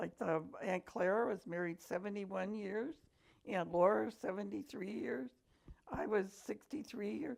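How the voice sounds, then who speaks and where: A woman speaks with an American accent and vocal fry. Her pace is fairly slow. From Buffalo, New York. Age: 80s+. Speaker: grandmother telling her life story. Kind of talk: memoir interview.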